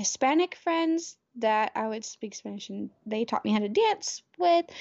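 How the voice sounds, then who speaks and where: In an American accent, a woman speaks at a fairly high pitch with lively intonation. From US South. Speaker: podcaster. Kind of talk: casual chat. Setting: video call.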